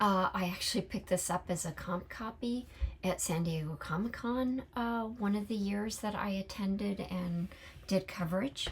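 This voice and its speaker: A woman with an American accent speaks at a moderate pace in a somewhat breathy voice, with a medium pitch and ordinary pitch variation. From California. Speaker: book vlogger. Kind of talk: casual monologue. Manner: halting, many fillers.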